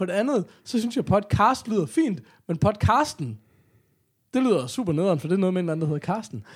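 Very wide pitch swings come at a moderate pace in a very clean recording with a silent background. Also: man. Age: 30s. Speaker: podcast co-host. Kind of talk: casual chat.

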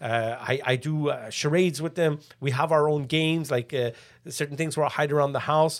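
A man's fairly high voice at a moderate pace, with fairly even intonation, a normal speaking voice and a very clean recording with a silent background. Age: 50s. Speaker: musician and father. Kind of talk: casual chat.

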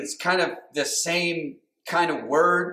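Very slow in pace, a man speaks with a bright, sharp tone and fairly high pitch. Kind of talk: sermon. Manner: animated call-and-response preaching, asks for amens; conversational, informal, with filler words and repetitions.

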